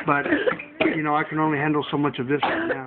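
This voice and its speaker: Loud noise fills the background as a man speaks extremely fast. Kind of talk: casual vlog chat. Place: kitchen. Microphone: webcam.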